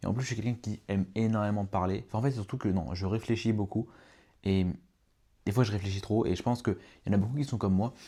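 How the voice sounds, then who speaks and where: On a very clean recording with a silent background, a man with a dark, mellow tone and fairly low pitch talks at a very fast pace, with fairly even intonation and long, frequent pauses. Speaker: podcaster and coach. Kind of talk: solo podcast monologue. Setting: at home on a sofa at night. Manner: poorly articulated.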